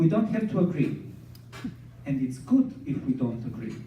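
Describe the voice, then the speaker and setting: A man speaks with a Serbian accent. Audible room echo surrounds his voice. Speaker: scientist and dancer, speaker. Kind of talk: inspirational talk.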